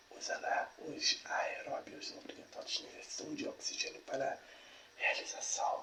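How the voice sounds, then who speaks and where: A man whispering over noticeable background noise. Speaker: ASMR creator reading a biology text aloud. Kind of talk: ASMR educational reading. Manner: soft-spoken, whispering, stumbling over difficult words.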